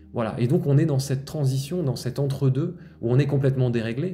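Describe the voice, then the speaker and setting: Over audible room echo, a man with a medium-pitched, somewhat breathy voice and a dark, mellow tone talks at a fairly quick pace with ordinary pitch variation. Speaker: spiritual healer. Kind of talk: spiritual monologue podcast. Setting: outdoors-facing, looking at nature. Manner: fast; continuous flowing monologue.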